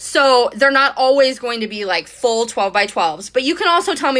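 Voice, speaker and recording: A woman speaks at a fairly quick tempo. Noticeable noise can be heard behind her. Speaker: scrapbooking creator and cut-file subscription host. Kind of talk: live-stream Q&A with audience. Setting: live video stream on social media. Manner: fast; casual, chatty.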